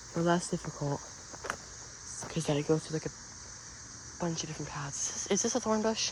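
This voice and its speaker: Amid noticeable background noise, a man speaks fairly quickly in a high voice with ordinary pitch variation. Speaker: outdoor vlogger. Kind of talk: casual vlog narration. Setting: outdoors in a forest. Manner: halting; whispering.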